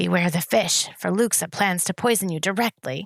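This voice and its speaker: In a put-on character voice, the speaker growls at a middle pitch and a moderate pace. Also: very clean recording, silent background. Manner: dramatically hushed.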